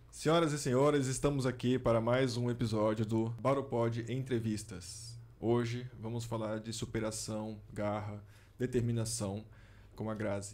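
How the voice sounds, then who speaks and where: A man speaks at a medium pitch and a fairly slow pace. His intonation stays fairly even, and room echo can be heard. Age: 40s. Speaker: podcast host. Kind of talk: interview. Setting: studio.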